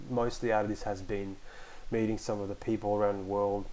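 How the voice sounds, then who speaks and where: A man speaks in a fairly low pitch with an Australian accent. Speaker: podcast host, online community moderator. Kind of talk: casual solo podcast talk. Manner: hesitant, many fillers.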